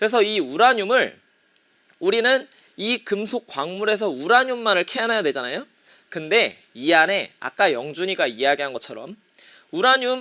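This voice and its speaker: A raised, projected voice with a bright, sharp tone moves through very wide pitch swings at a moderate pace. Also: man. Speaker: middle school teacher. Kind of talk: online lecture. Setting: live-streamed class broadcast.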